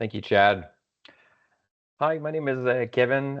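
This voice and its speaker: At a moderate pace, a man speaks in a Quebec accent. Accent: French-Canadian accent in English. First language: French. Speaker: engineer, association president. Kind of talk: webinar presentation. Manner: halting, many fillers.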